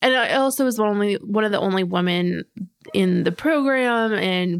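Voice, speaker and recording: Using a plain, everyday voice, a woman with an American accent talks at a moderate pace with ordinary pitch variation. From US Northeast, rural New Hampshire. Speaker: software developer and technical blogger. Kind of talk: casual interview.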